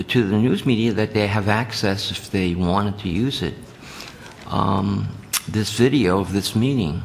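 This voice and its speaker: A man with an American accent and a fairly low pitch speaks at a fairly slow pace with ordinary pitch variation, over noticeable background noise. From New Jersey, Jersey City. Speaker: committee chair. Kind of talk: committee meeting discussion.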